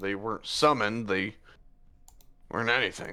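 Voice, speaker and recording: In a very clean recording with a silent background, someone performs a raspy, put-on character voice. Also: man. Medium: actual play.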